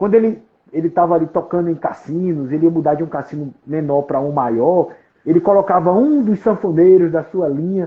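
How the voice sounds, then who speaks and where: A man's high voice holds a moderate pace and ordinary pitch variation. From Paraíba, Brazil. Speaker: collector and author on a folk musician. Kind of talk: interview on a live stream. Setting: online live stream. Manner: halting, many repetitions.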